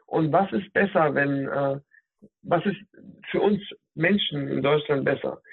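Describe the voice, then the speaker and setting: A man talks at a very slow pace with long, frequent pauses. His pitch is fairly high, with ordinary pitch variation. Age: 30s. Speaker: digital health specialist, former nurse. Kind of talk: interview. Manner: hesitant, many fillers.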